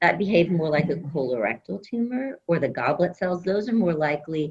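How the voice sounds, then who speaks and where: Her intonation rises and falls in a lively way, though this woman's pitch sits very deep and low. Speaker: surgical oncologist. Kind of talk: medical lecture on video call. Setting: video call.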